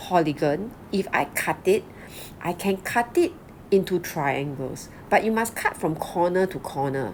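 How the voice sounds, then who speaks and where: With very wide pitch swings, a woman speaks at a fairly slow pace. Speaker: school teacher. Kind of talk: classroom lecture.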